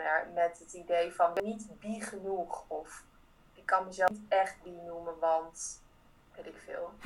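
Her medium-pitched voice flat and monotone, a woman speaks. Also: big swings in loudness. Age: 30s. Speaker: theatre maker and actress. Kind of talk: interview.

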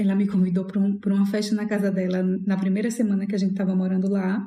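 Somewhat breathy and dark, mellow in tone, a woman at medium pitch speaks at a fairly quick pace amid audible room echo. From Maceió, Brazil. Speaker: podcast host. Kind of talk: casual chat.

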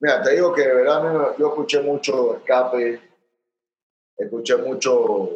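In a Panamanian accent, a man speaks at a very slow pace. His delivery has long, frequent pauses. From Panama, Chitré. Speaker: punk rock musician. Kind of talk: casual interview. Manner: halting.

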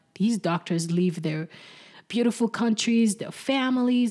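A woman's voice comes through somewhat breathy. The recording is very clean, with a silent background. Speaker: podcast host. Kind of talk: casual chat.

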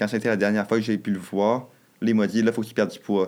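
A man speaks in a fairly low, flat, monotone voice with a Quebec accent. The recording is very clean, with a silent background. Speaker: nursing student. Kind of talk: casual chat. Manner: fast.

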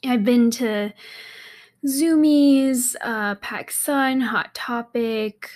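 The pitch of this woman's speech varies in an ordinary way. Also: very clean recording, silent background. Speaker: podcast host, fashion entrepreneur. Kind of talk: casual solo monologue. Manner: giggly, frequent laughter; rambling, many fillers.

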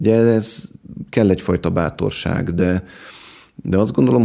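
The man's tone is dark and mellow. He talks at a moderate pace with ordinary pitch variation. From Budapest, Hungary. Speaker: farmer and gardener. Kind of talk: interview. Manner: hesitant, repeats words.

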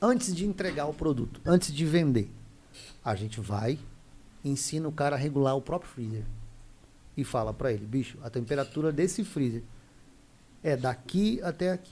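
A man with a fairly high pitch and a dark, mellow tone, a little breathy. His intonation is lively and his pace is moderate, broken by long, frequent pauses. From Mato Grosso do Sul, Brazil (Camapuã). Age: 40s. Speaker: meat business co-founder. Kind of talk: casual interview chat.

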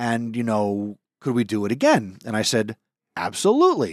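A man with an unremarkable speaking voice and a medium pitch talks at a moderate pace in a very clean recording over a silent background. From Italian-American family, US. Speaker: teacher hosting school podcast. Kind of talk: casual chat.

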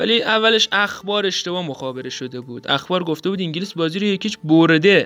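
A man's high-pitched voice with ordinary pitch variation, a fairly quick pace and a bright, sharp tone. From Iran. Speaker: podcast host. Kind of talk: scripted narration.

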